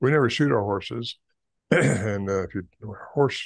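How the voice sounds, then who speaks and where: A man's fairly low voice with vocal fry, ordinary pitch variation and a moderate pace. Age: 80s. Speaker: Bigfoot researcher and author. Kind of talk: interview.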